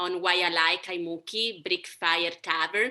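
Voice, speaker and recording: In an Italian accent, a woman speaks at medium pitch with a bright, sharp tone. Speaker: language teacher. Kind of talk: q&a in online class.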